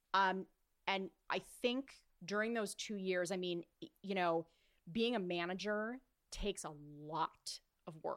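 In an American accent, a woman speaks at a fairly slow pace with long, frequent pauses. Her pitch is medium with ordinary variation, and the sound is dry and close with no echo. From California, Orange County. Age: 30s. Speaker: events and live broadcast producer. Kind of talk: casual interview.

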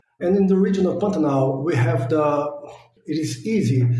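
Moderate-paced speech from a fairly high-pitched man with ordinary pitch variation and audible room echo. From Brazil. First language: Portuguese. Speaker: postdoctoral biologist. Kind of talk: interview, scientific explanation.

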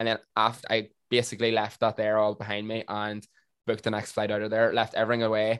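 On a very clean recording with a silent background, a man with a Northern Irish accent talks at a very fast pace. His fairly low voice stays monotone and flat. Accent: Northern Irish (Tyrone). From Northern Ireland, County Tyrone. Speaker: TikToker. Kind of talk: casual chat.

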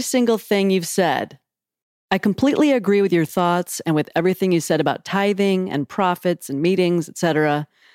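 A woman talks at a medium pitch in an unremarkable speaking voice. The sound is dry and close, with no echo. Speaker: podcast host. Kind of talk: casual chat. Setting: travel mics in an Airbnb.

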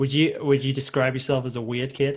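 A man with a Liverpool accent speaks with flat, monotone intonation. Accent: Liverpool (Scouse) English. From Liverpool, England. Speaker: podcast host, motion designer. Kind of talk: casual chat.

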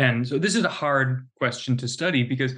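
This man has a plain, everyday voice, medium in pitch, with fairly even intonation at a moderate pace. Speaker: university professor. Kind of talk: academic interview.

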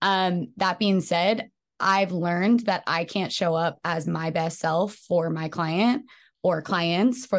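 A woman with an American accent speaks at a fairly slow pace in an unremarkable speaking voice, her pitch fairly low. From US West Coast, San Francisco Bay Area. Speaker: fitness studio co-founder and trainer. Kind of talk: casual interview chat.

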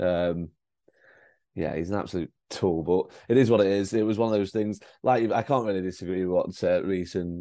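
A man speaks in a very deep, low voice with a dark, mellow tone and fairly even intonation. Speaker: football fan pundit. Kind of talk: casual chat.

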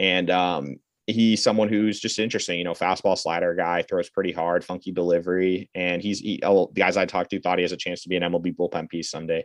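Very fast, very deep, low speech from a man, with hardly any pauses and monotone, flat intonation, dry and close with no echo over a quiet background. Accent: American. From Massachusetts. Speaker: baseball prospect scout. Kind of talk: interview. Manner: many fillers (uh, um).

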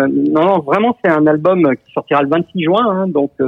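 A man speaks at a very slow pace. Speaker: music journalist. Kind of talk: casual chat. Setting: phone call. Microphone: telephone line.

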